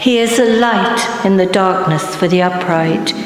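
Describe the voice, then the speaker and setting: Over light background noise and audible room echo, a woman speaks at a very slow pace with fairly even intonation. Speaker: lector, congregation member. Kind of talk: scripture reading aloud. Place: church. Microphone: podium.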